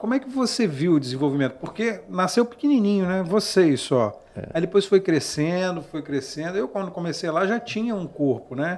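Speaking at a moderate pace with hardly any pauses, a man uses a high pitch and lively intonation over noticeable background noise. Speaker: podcast host. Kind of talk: interview. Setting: studio.

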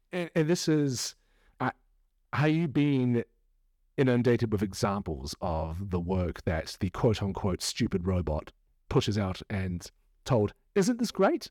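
In a very clean, dry and close recording with a silent background and no echo, a man with a New Zealand accent speaks at a fairly low pitch and fairly slow pace, with very wide pitch swings and long, frequent pauses. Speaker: podcast host. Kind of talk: casual chat. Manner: animated.

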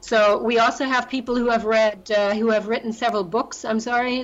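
A woman speaks in a German accent at a fairly high pitch. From Germany. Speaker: travel business owner and life coach. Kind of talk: interview.

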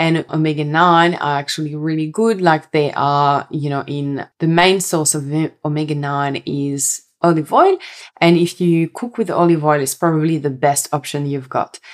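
Speaking at a moderate pace, a woman with a slight French accent has a very deep, low pitch. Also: fairly even intonation. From France. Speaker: health coach and podcast host. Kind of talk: solo podcast monologue.

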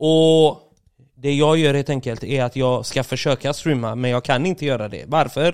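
With fairly even intonation, a man with a fairly high pitch speaks at a moderate pace. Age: 30s. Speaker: streamer. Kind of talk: casual chat.

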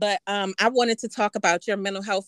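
A plain, everyday voice at a fairly quick pace, dry and close with no echo. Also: woman. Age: 50s. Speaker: podcast co-host and business owner. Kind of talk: casual chat.

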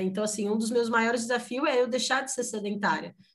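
Against a quiet background, a woman talks in a normal speaking voice, fairly high in pitch, with fairly even intonation. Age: 30s. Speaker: mother sharing life story. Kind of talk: interview testimony.

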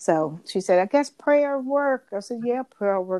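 A woman's voice with ordinary pitch variation, dry and close with no echo, over a quiet background. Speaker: podcast co-host. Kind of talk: casual chat.

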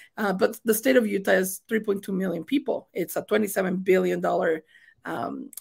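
A woman with a Mexican accent speaks fairly quickly at a medium pitch with vocal fry, in a very clean recording with a silent background. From Mexico. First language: Spanish. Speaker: state senator. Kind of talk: interview.

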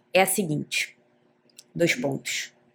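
A woman is speaking. Her pace is fairly slow. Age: 30s. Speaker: podcast host. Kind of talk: casual solo monologue. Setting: home living room.

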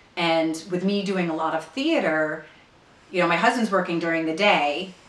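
A woman's fairly low voice at a moderate pace, with ordinary pitch variation, audible room echo and noticeable background noise. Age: 40s. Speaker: actress. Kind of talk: recorded interview answers. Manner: hesitant with frequent fillers.

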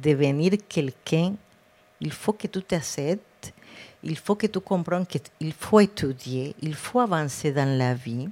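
A woman's very deep, low voice, dark and mellow in tone, with a Spanish accent, lively intonation and a very slow pace. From Colombia, Cartagena. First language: Spanish (speaking French). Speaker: public health director, physician. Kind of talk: interview. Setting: live podcast with audience.

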